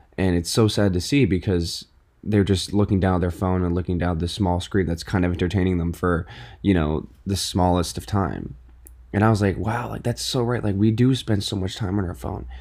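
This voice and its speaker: In a very clean recording with a silent background, a man with an American accent and a very deep, low pitch talks in an animated tone at a fairly quick pace with ordinary pitch variation. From New York City / Connecticut. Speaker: podcast host. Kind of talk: casual solo monologue.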